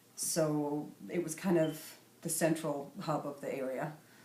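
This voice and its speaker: In a Scottish Highland accent, a woman speaks at a very slow pace with a very deep, low pitch and monotone, flat intonation, amid audible room echo. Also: long, frequent pauses. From northern Scotland, Sutherland. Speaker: artist. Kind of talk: interview. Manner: halting.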